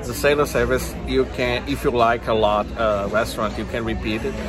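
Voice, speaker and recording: Over clear background music, a man delivers his words at a moderate pace. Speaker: travel vlogger. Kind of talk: casual vlog chat. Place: cafe. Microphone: phone near.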